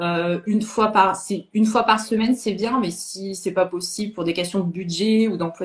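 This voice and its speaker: A woman speaks at a moderate pace in a medium pitch, her voice somewhat breathy and her intonation fairly even. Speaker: sophrologist and medium. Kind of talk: interview chat. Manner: halting.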